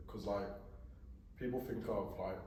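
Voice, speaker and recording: There is audible room echo and noticeable background noise. A man speaks with a Birmingham accent. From England, Birmingham. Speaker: podcast host. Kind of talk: casual interview chat.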